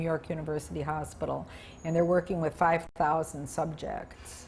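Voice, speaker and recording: Her voice somewhat breathy and fairly low in pitch, a woman speaks with an American accent. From US Midwest. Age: 70s. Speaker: retired broadcaster and Peace Corps volunteer. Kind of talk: interview. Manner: animated.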